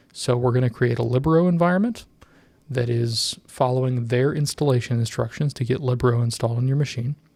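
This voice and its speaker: A man's somewhat breathy voice at medium pitch, with fairly even intonation, very even loudness and a very fast pace. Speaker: tech tutorial youtuber. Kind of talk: tutorial. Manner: casual with many fillers.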